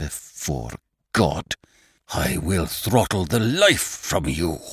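In a put-on character voice, a man speaks at a very slow pace with a very deep, low pitch. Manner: savage, furious.

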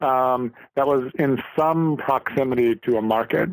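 A man with an Upper Midwest accent speaks at medium pitch with ordinary pitch variation, in a dry, close sound with no echo. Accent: Upper Midwest American. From Minnesota, St. Cloud. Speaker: vegetable farmer. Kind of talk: interview. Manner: halting, with many fillers.

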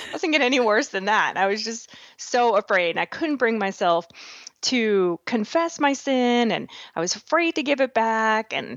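Using an American accent, a woman talks at a moderate pace with very wide pitch swings. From Massachusetts, New England. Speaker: author. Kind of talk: interview testimony.

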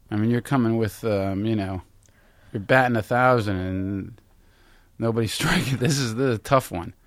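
Here is an unremarkable speaking voice, with ordinary pitch variation and a moderate pace. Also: man, medium pitch for a man. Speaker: podcast co-host. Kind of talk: casual chat.

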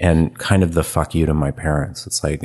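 With a West Coast accent, a man speaks in a very deep, low voice using fairly even intonation. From San Francisco Bay Area. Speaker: photographer. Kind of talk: casual chat.

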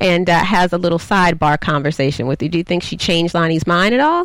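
A woman with a plain, everyday voice and an American accent speaks at a fairly quick pace with fairly low pitch and ordinary pitch variation. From US South. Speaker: TV recap show host. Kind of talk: casual chat. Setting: studio.

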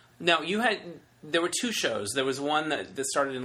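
Noticeable noise fills the background. Over it, a man talks with ordinary pitch variation. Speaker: podcast host. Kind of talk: casual interview chat. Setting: in person at guest's home.

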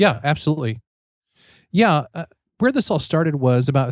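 A man with an American accent speaks at a fairly quick pace in an unremarkable speaking voice, pitched fairly high. The recording is very clean with a silent background and a dry, close sound with no echo. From Missouri, US Midwest. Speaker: author and professor. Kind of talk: casual interview chat.

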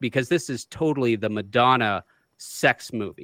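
On a very clean recording with a silent background and a dry, close sound free of echo, a man speaks fairly slowly in a normal speaking voice at medium pitch with ordinary pitch variation. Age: 40s. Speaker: podcast co-host. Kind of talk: casual chat.

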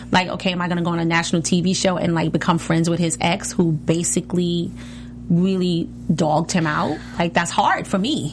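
Noticeable background noise sits behind a woman with a fairly low pitch. She speaks fairly quickly in a flat, monotone way. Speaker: reality TV cast member and singer. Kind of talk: casual chat. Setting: studio.

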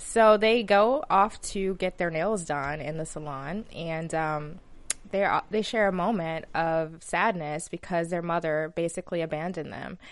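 A woman with an American accent and a normal speaking voice, fairly low in pitch with ordinary variation, at a fairly slow pace against a quiet background. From Alabama, US South. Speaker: TV after-show host. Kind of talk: casual chat. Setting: studio.

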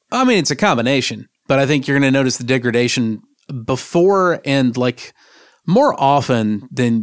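On a very clean recording with a silent background, a man with an ordinary speaking voice talks at a moderate pace and medium pitch. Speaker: podcast co-host, sysadmin. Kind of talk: casual tech discussion.

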